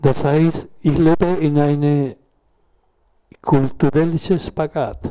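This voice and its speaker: A man with a fairly high pitch and a dark, mellow tone talks at a very slow pace in a monotone, flat delivery, with long, frequent pauses. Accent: Spanish. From southern Chile. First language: Spanish (speaking German). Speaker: former political prisoner, witness. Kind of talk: panel talk, personal testimony. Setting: café event with audience. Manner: halting.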